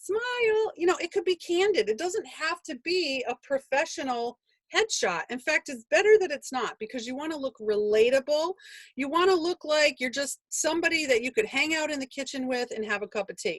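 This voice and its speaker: A woman with a high pitch speaks in an animated tone, her pitch swinging very widely. The sound is dry and close, with no echo. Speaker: business coach and author. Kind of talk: webinar. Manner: fast.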